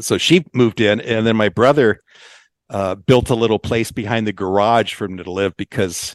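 A man's unremarkable speaking voice, fairly low in pitch, with ordinary pitch variation and an American accent, at a moderate pace, dry and close with no echo over a quiet background. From Southern California, Long Beach. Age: 60s. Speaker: family member interviewee. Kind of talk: casual interview.

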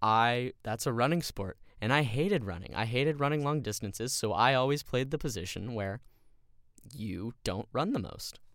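In a very clean recording with a silent background, a man speaks at a moderate pace and medium pitch with lively intonation. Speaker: podcast host. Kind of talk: motivational pep talk; solo monologue, first episode. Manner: urgent, fired-up, driving and emphatic; earnest, rallying, repeating key phrases.

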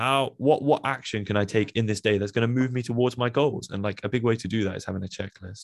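Speaking at a fairly quick pace, a man has a Birmingham accent and a medium pitch. The recording is very clean, with a silent background. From England, Birmingham. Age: 20s. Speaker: podcast host. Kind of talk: solo monologue. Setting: home recording.

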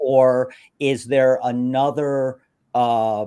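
A man with an American accent speaks in a dark, mellow tone. The recording is very clean, with a silent background. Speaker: radio host. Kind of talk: interview. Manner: animated.

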